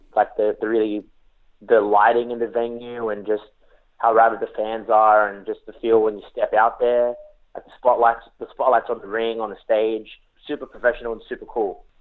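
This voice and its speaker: In an Australian accent, a man speaks with monotone, flat intonation. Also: medium pitch for a man, moderate pace. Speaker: professional wrestler. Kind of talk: interview. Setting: remote call.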